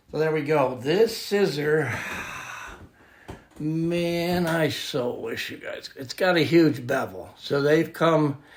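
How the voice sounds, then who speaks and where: Over noticeable background noise, a man speaks very slowly at a fairly high pitch with ordinary pitch variation. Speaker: scissor sharpener. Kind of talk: tutorial. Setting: at home workshop. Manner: casual, filler-heavy; loud.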